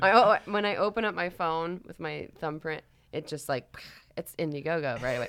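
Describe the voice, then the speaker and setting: A woman with an American accent in a normal speaking voice, fairly low-pitched, with lively intonation, big swings in loudness and a moderate pace. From Florida, US. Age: 30s. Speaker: podcast guest. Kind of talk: casual chat.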